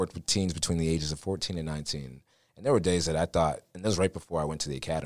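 A man rushes along at a very fast pace, his very deep, low voice marked by vocal fry. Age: 20s. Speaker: voiceover talent and law enforcement officer. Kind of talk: casual interview.

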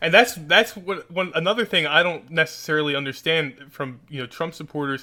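This man's voice is fairly high in pitch. He uses ordinary pitch variation. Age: 20s. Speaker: podcast host. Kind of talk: casual chat. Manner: animated.

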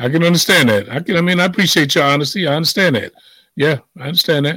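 The delivery is animated and very fast. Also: man. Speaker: radio host. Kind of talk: casual chat.

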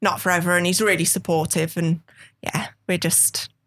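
A woman speaks in a strong Brummie accent at a moderate pace. Her pitch is fairly low. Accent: thick Brummie. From West Midlands, England. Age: 30s. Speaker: model. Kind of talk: casual interview chat.

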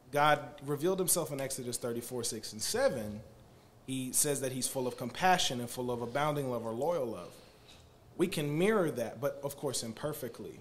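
A man talks in an ordinary speaking voice at medium pitch. His pace is moderate and his pitch varies in an ordinary way. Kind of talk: casual chat. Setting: studio.

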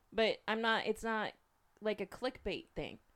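This woman has a normal speaking voice, a fairly high pitch and a moderate pace. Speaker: podcast co-host. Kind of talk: casual chat. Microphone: new microphone.

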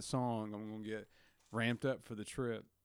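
Speaking with a Southern US accent, a man keeps up a fairly quick pace. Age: 30s. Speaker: guest. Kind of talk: casual chat.

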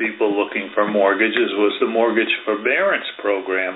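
Amid noticeable background noise, a man with an American accent speaks at a moderate pace. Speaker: real estate agent hosting interview. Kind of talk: casual interview chat.

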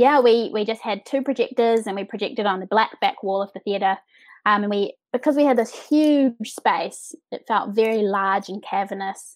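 In a New Zealand accent, a woman speaks at a fairly high pitch on a very clean recording with a silent background. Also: ordinary pitch variation, moderate pace. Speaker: set and projection designer. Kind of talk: interview. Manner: hesitant with fillers.

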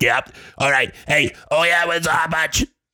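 This is a put-on character voice from a man, and it sounds raspy. He talks at a fairly slow pace. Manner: brisk, bossy.

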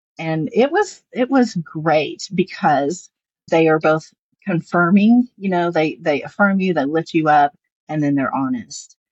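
A woman with a Southern US accent, a fairly low pitch, lively intonation, and a fairly slow pace. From US South. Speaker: lawyer and novelist. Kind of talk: interview.

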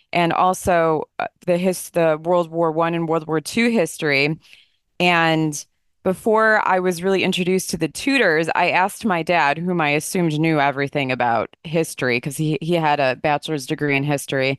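A woman with an American accent at a fairly low pitch, moderate pace and ordinary pitch variation, in a dry, close sound with no echo over a quiet background. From New Jersey, then Illinois (US Midwest). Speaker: historian and attorney. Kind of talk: interview, informative discussion.

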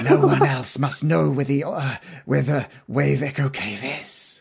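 Using a put-on character voice, a man drags along at a very slow pace, strained and raspy, at a medium pitch.

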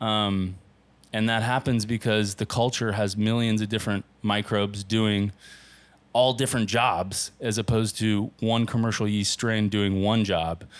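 In an American accent, a man speaks at a fairly low pitch with monotone, flat intonation and very even loudness. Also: very clean recording, silent background. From US West Coast, Southern California. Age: 30s. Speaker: pizzeria owner. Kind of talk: casual interview. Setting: in his pizzeria.

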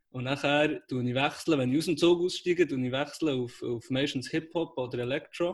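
A man with a normal speaking voice talks at a fairly quick pace, his pitch fairly high and varying in an ordinary way. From Switzerland, Aarberg (Bern). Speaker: podcast co-host, startup worker. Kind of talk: casual chat. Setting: call from home.

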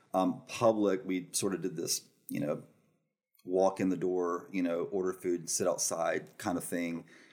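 A man with a Southern US accent speaks slowly, fairly so, in a very deep, low voice with ordinary pitch variation. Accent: Southern US (Georgia). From rural Georgia, US South. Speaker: restaurant managing partner. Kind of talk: casual interview. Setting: studio.

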